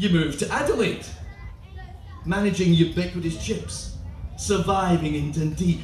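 A man speaks in a room with audible echo. Faint music plays in the background. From Scotland. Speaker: performance poet. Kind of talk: comic spoken word poetry performance. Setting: live festival stage. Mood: comic, rhythmic delivery. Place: tent.

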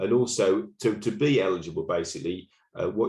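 A man with a Norfolk accent. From England, Norfolk. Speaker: local council association officer. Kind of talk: webinar presentation. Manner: hesitant, many fillers and repetitions.

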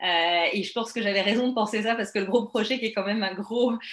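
Speaking fairly quickly at a fairly high pitch, a woman with a slight French accent keeps her intonation fairly even amid audible room echo. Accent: slight France French. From France. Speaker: network marketing business presenter; presenter. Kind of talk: sales pitch. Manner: hesitant, many fillers. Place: home room. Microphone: webcam.

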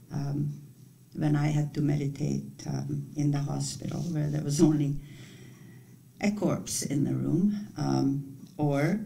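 A woman's very deep, low voice carries vocal fry. Her pace is very slow and her intonation fairly even. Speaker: retreat leader. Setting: retreat. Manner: calm, measured. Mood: calm, gentle, reflective. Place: home room. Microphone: webcam.

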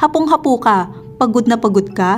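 A woman's voice with very wide pitch swings and music in the background. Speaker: news narrator. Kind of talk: narration reading an article.

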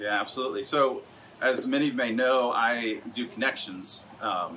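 A man talks at a moderate pace against light background noise. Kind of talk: interview answer. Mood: relaxed and friendly. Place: home room. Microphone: camera far.

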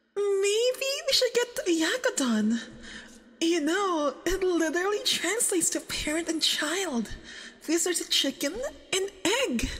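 A woman's put-on character voice, extremely high in pitch, with a fairly bright tone, lively intonation and a slow pace

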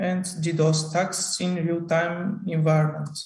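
With a Bulgarian accent, a man talks at a moderate pace in a high pitch, with audible room echo over a quiet background. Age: 20s. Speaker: student researcher; conference presenter. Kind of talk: conference talk. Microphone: video call.

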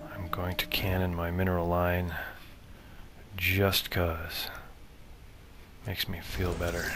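A man's very deep, low voice in a flat monotone, at a fairly slow pace with long, frequent pauses, over noticeable background noise. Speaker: gamer commentating own match. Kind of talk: live game commentary.

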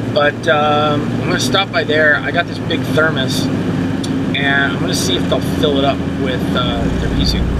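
A man speaks at a moderate pace with ordinary pitch variation, while loud background noise fills the clip. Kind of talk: casual vlog chat. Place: car. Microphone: phone near.

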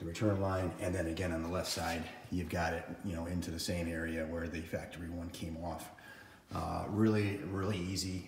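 A man speaks at a fairly quick clip in a very deep, low voice, his intonation flat and monotone, with audible room echo and light background noise. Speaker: tractor owner. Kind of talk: tutorial. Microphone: phone near.

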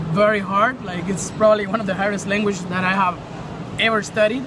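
A high-pitched man at a fairly quick pace, fairly even intonation, with noticeable background noise. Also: dry sound with no echo. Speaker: interviewee living in Taiwan. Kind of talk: casual interview. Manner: casual, filler-heavy. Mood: calm, friendly advice. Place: shop. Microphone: phone near.

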